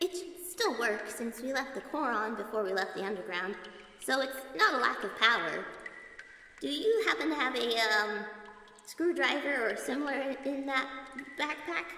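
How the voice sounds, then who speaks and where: In a put-on character voice with a nervous tone, the speaker goes at a moderate pace with long, frequent pauses, with a clear echo and light background noise. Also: female-sounding voice, high pitch for a woman. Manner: nervous, stuttering.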